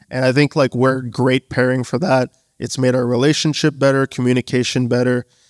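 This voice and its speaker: With a Canadian accent, a man speaks at a fairly quick pace. His intonation is monotone and flat. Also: medium pitch for a man, dry, close sound with no echo, very clean recording, silent background. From Canada, Bangladeshi family. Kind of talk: live panel interview. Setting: stage with audience.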